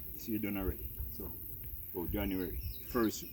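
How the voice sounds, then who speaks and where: Vocal fry marks this voice with a Jamaican accent, which moves at a fairly quick pace with ordinary pitch variation. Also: man. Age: 70s. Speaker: farmer. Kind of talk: casual chat.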